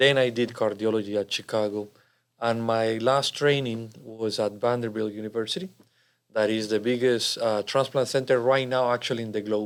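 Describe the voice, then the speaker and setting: A man with a Spanish accent talks at a moderate pace and medium pitch with fairly even intonation, on a very clean recording with a silent background. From Colombia. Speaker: cardiologist. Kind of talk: interview.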